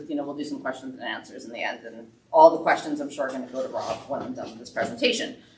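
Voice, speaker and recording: Audible room echo surrounds a woman as she talks. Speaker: business owner presenting wood finishes. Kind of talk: presentation to a woodworking club. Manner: fast.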